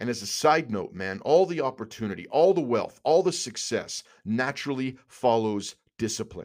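A man speaks at a moderate pace and medium pitch, with lively intonation and an animated tone. The recording is very clean, with a silent background. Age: 40s. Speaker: men's coaching podcast host. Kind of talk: motivational monologue.

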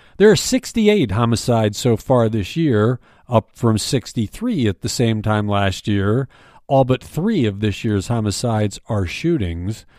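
A man with an ordinary speaking voice talks at a fairly slow pace and a medium pitch, with ordinary pitch variation, in a dry, close sound with no echo on a very clean recording with a silent background. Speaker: news briefing host and newspaper editor. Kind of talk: news reading, scripted morning news briefing. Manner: formal, steady, even-paced newsreader delivery; neutral and matter-of-fact, reading statistics and crime figures without emotion.

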